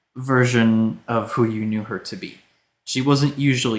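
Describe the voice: The background is quiet as someone does plain reading aloud.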